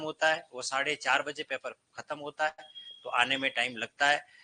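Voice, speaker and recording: A man's fairly high voice at a moderate pace, dry and close-miked with no echo. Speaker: Hindi teacher at coaching class. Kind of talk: classroom lecture. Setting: classroom with students. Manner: loud. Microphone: no microphone, some students may hear poorly.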